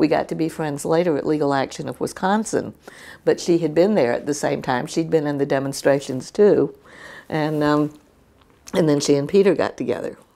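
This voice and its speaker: A woman in a Southern US accent, very deep and low in pitch, dark and mellow in tone, with ordinary pitch variation and a fairly quick pace. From Winston-Salem, North Carolina. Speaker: retired legal services lawyer. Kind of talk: oral history interview answer. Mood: animated, lively. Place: home room.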